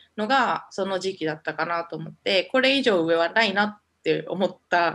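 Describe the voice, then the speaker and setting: Recorded very cleanly against a silent background, a woman with a fairly low pitch and vocal fry speaks at a moderate pace with ordinary pitch variation. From Japan. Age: 20s. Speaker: MBA student. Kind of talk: interview.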